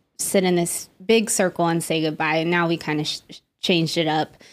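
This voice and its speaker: A woman with an American accent and a normal speaking voice talks at a fairly low pitch and moderate pace in a very clean recording with a silent background. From Las Vegas, Nevada. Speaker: psychotherapist. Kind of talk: casual chat.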